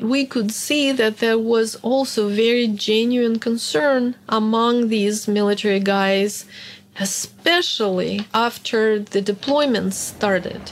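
A woman speaks with a Russian accent. Her pace is fairly slow and her intonation fairly even. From Soviet Union, born in Hungary. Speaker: historian and archive analyst. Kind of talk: interview testimony.

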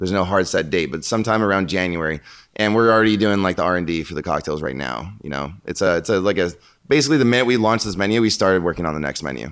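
A man with a very deep, low pitch talks at a very fast pace with lively intonation. The recording is very clean, with a silent background. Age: 30s. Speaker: bar director. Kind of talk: casual interview.

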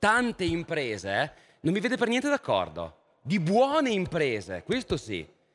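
A man talks at a fairly slow pace. His voice carries vocal fry. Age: 30s. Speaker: panel moderator, philosopher. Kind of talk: moderated panel discussion.

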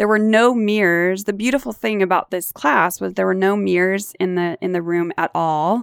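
A woman of medium pitch with an American accent talks at a moderate pace with hardly any pauses and ordinary pitch variation, in a dry, close sound with no echo on a very clean recording with a silent background. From US West Coast, Orange County, California. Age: 50s. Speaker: podcast host and leadership coach. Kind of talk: casual interview chat.

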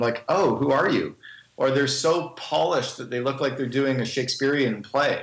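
With noticeable background noise behind him, a man with a Canadian accent talks at a fairly quick pace and a fairly high pitch. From Northern Canada. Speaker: business speaker and speaking coach. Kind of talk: podcast interview. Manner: fast.

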